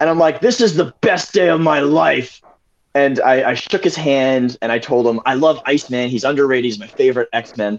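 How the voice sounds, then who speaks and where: A man's fairly high-pitched, a plain, everyday voice, with ordinary pitch variation and a fairly quick pace. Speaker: prop maker. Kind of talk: casual chat. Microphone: spotty internet connection.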